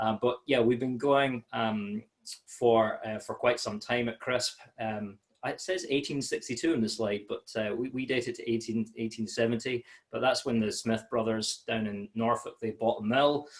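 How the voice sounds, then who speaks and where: A man talks with a Scottish accent. His intonation stays fairly even. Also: medium pitch for a man, moderate pace. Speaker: malt sales manager. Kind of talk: webinar presentation. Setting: home office, online webinar. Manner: many fillers and hesitations.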